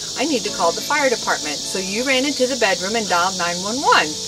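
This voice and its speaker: With music in the background, a woman talks at a moderate pace. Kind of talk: personal video message, storytelling. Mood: warm, amused, fond. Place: garden. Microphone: camera far.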